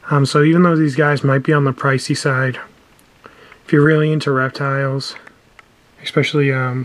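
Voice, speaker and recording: Delivered at a moderate pace with long, frequent pauses, the speech has noticeable background noise. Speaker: reptile keeper. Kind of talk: casual talk to camera.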